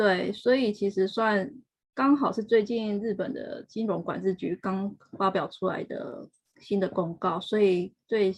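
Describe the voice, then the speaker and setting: This woman has an ordinary speaking voice at medium pitch. She talks at a fairly slow pace with ordinary pitch variation. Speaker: HR professional working in Japan. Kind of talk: interview. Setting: live stream.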